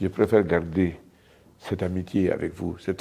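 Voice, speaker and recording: A man speaks with a very deep, low pitch and a dark, mellow tone. His intonation is monotone and flat. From Guinea, Dubreka. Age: 70s. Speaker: entrepreneur. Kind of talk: interview.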